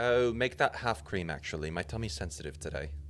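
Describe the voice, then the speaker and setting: Doing a put-on character voice, a man talks nasally at a fairly quick pace in a very deep, low pitch, with clear background noise. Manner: whiny, mocking.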